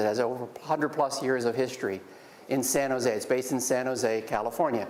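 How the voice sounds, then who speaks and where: With an American accent, a man talks at a fairly quick pace and medium pitch, with noticeable background noise and audible room echo. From Pennsylvania. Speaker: business executive and guest speaker. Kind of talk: guest lecture to students. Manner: fast.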